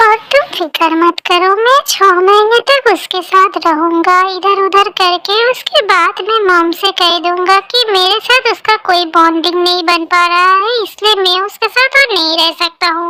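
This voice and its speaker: Using a put-on character voice at an extremely high pitch, a woman talks at a moderate pace with ordinary pitch variation and hardly any pauses. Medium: fan dub. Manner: defensive, irritable.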